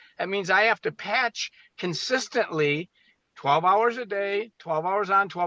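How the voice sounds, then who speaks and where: Over a quiet background, a man projects a raised voice with a bright, sharp tone at a moderate pace, the sound dry and close with no echo. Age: 60s. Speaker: medical doctor. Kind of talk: interview.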